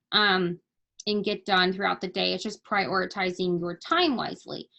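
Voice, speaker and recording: A woman with a bright, sharp tone. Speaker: network marketing team leader. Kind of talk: team training call. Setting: video call. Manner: casual, many fillers.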